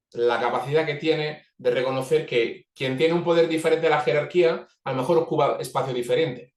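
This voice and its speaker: A man talks at a fairly quick pace with hardly any pauses. His pitch is fairly high and his intonation fairly even. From Italy. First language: Italian (speaking Spanish). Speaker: organizational facilitator. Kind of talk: webinar talk. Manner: fast.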